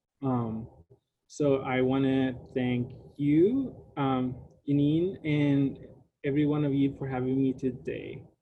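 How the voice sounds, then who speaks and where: A man with a Spanish accent at a very slow pace, with audible room echo. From Puerto Rico. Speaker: graduate student researcher. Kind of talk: lecture. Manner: casual, with many fillers.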